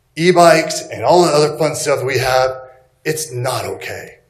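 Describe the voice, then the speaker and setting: A man with an American accent at a moderate pace, amid audible room echo. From Texas. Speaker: resident speaking at public comment. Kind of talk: public comment. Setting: public meeting.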